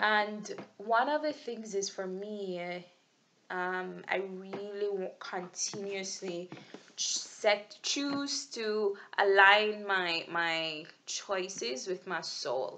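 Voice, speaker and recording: A woman's medium-pitched voice in a Jamaican accent, bright and sharp in tone, very slow, with ordinary pitch variation. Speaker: vlogger. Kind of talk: video journal monologue. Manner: halting, with many fillers and restarts.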